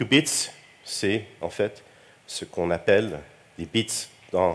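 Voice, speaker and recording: Here a man speaks with a Quebec accent and a fairly low pitch. He talks at a very slow pace. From Quebec, Montreal. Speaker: computing researcher, keynote speaker. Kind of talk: conference keynote. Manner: hesitant, many fillers and repetitions.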